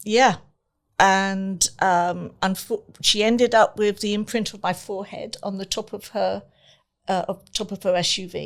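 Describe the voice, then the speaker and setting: A woman's medium-pitched voice with an English accent, fairly even intonation and a fairly slow pace, big swings in loudness, on a very clean recording with a silent background. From England. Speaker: entertainment company owner and face painter. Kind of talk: personal testimony in interview. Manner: halting, many fillers.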